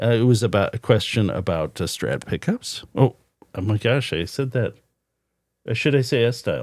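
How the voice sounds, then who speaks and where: The recording is very clean, with a silent background. A man with vocal fry speaks at a moderate pace and medium pitch, with ordinary pitch variation. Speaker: guitar pickup maker and podcast host. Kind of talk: casual podcast chat. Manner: stammering, halting.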